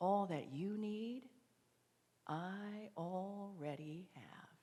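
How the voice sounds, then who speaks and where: A woman puts on a character voice at a medium pitch, speaking at a very slow pace. Hissing can be heard. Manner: seductive, sly.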